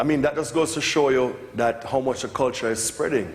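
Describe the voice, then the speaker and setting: An animated, fairly quick delivery in a Jamaican accent, with audible room echo and noticeable background noise. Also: man. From Jamaica (Kingston). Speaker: music producer. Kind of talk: lecture Q&A.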